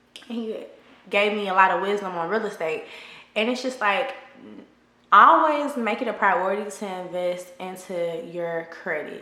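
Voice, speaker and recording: A woman's medium-pitched voice with lively intonation at a moderate pace, plus noticeable background noise and audible room echo. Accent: American. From Texas, Houston. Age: 30s. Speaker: lifestyle vlogger. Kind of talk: casual advice chat.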